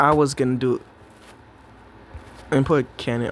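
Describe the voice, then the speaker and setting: Against noticeable background noise, a man speaks in a fairly high voice with ordinary pitch variation. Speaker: gaming youtuber. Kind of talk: gameplay commentary. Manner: animated.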